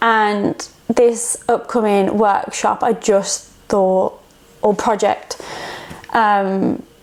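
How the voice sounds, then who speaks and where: A woman's fairly high, monotone voice with flat intonation at a very slow pace, with long, frequent pauses and noticeable background noise. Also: very even loudness. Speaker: artist and art workshop facilitator. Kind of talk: casual vlog talk while working. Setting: art studio. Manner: relaxed, hesitant with fillers.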